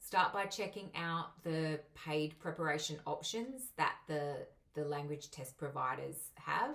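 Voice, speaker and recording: With a strong Australian accent, the speaker talks at a fairly slow pace using lively intonation. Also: woman, very deep, low pitch for a woman. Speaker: migration agent and English teacher. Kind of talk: tutorial.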